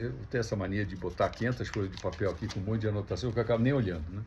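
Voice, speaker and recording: Very fast, somewhat breathy speech from a man at a fairly low pitch, with ordinary pitch variation. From Brazil, Rio de Janeiro. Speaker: speaker at a religious gathering. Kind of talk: talk to an audience. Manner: casual, conversational.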